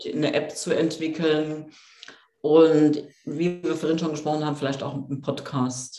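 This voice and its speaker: Against audible room echo, a woman speaks at a moderate pace with a very deep, low pitch and monotone, flat intonation. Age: 50s. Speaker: coach and author. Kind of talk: interview.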